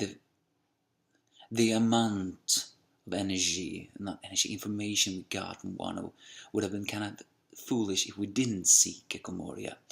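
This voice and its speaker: Quietly and at a moderate pace, a man with a fairly low pitch talks in a flat, monotone way, his loudness swinging widely and his speech broken by long, frequent pauses. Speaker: anime and manga reviewer. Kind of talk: manga chapter review. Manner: talking a little bit quietly; halting, self-correcting.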